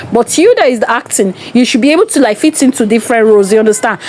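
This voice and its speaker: Music plays behind a woman whose intonation is lively. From Nigeria. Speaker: entertainment vlogger. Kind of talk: casual monologue commentary.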